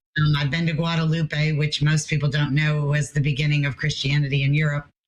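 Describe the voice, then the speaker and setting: With a very deep, low pitch and a somewhat breathy sound, a woman speaks at a fairly quick pace in a monotone, flat intonation and very even loudness. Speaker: pilgrimage tour coordinator. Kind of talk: interview.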